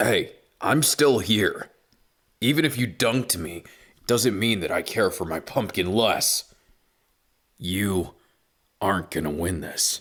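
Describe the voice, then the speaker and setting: Putting on a character voice, a raspy man of medium pitch speaks at a fairly slow pace with lively intonation and long, frequent pauses. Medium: read story. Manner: hesitant, stammering.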